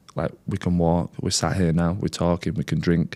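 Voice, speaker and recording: A man with an English accent speaks at a fairly quick pace. His voice is very deep and low, with a dark, mellow tone. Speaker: content creator sharing recovery story. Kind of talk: interview. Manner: loud.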